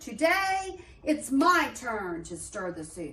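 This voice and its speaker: In a put-on character voice, a woman speaks very slowly at a high pitch, her pitch swinging very widely. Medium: read story.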